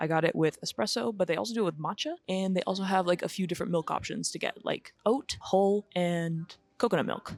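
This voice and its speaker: The voice is quiet and moves at a fairly quick pace with lively intonation. The sound is dry and close, with no echo. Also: woman. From Los Angeles. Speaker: lifestyle vlogger. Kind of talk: casual vlog talk. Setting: outdoor cafe patio.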